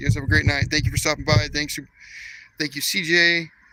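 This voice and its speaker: Loud male speech, fairly high in pitch and bright and sharp in tone, at a fairly quick pace. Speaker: fishing vlogger. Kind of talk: live stream vlog. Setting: outdoors at night, fishing. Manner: casual, animated.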